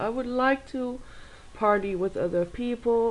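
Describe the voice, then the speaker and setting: This woman talks at a fairly slow pace with ordinary pitch variation. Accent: German. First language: German. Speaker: video blogger. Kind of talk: casual vlog monologue.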